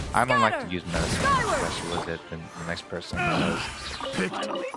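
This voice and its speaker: A man speaks over noticeable background noise. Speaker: gaming streamer. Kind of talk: live gameplay commentary. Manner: halting, many fillers.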